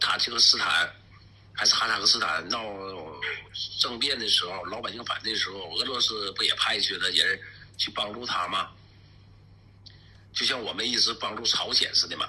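Against noticeable background noise, a man with a Northeastern Chinese accent speaks at a moderate pace. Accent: Northeastern Mandarin. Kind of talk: street interview talk.

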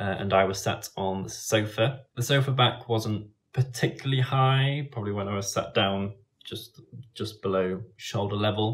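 Ordinary pitch variation and a moderate pace in a man's fairly low voice. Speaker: travel vlogger. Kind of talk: casual vlog chat. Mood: calm, slightly rueful. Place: home room. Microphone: phone near.

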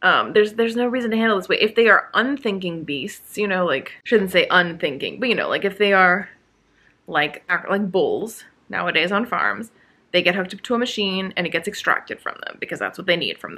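A woman speaks at a moderate pace with lively intonation. Her pitch is fairly low and her tone is bright and sharp.

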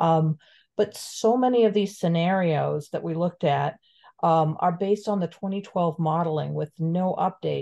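A woman speaks in an American accent with a dark, mellow tone and a fairly low pitch. Her pace is moderate, her pitch variation ordinary, and the background quiet. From Florida. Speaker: community member. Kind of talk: public comment. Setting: video call. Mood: concerned, advocating. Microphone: video call.

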